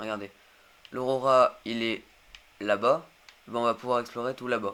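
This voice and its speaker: This man's tone is bright and sharp, set at a medium pitch. He talks at a moderate pace with monotone, flat intonation. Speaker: gaming youtuber. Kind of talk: let's play commentary. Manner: hesitant, many fillers.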